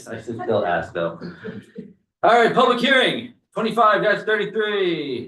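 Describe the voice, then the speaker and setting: A man's bright, sharp voice at a fairly quick pace, with audible room echo. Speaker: select board chair. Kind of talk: public meeting chairing. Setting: town meeting room. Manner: fast.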